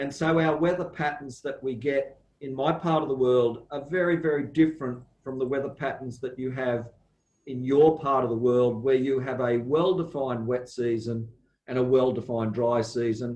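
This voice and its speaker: A man with an Australian accent speaks at a moderate pace. His pitch is medium and his intonation fairly even. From Australia, southeast Queensland. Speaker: university plant pathology lecturer. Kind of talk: lecture.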